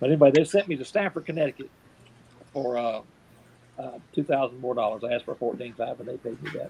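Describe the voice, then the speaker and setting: This man speaks very fast with long, frequent pauses, a dark, mellow tone, medium pitch, ordinary pitch variation and big swings in loudness. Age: 60s. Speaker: professional Santa Claus. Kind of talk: interview storytelling. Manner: casual, folksy with hesitations.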